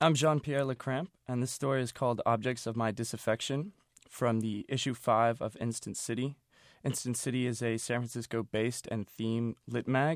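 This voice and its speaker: A man with a plain, everyday voice and fairly even intonation. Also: medium pitch for a man, quiet background. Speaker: poet reading his own work. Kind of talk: poetry reading, literary prose-poem read aloud. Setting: radio studio recording. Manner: measured, rhythmic, deliberate cadence.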